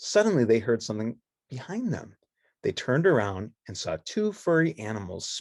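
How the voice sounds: It is a natural reading voice heard against a quiet background.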